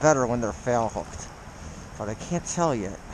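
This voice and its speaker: A man with an American accent talks at a moderate pace with very wide pitch swings. Noticeable background noise runs underneath. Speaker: fly-fishing vlogger. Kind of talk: casual outdoor vlog commentary. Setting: outdoors by a creek in freezing weather. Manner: excited, exclaiming. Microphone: muffled by face mask.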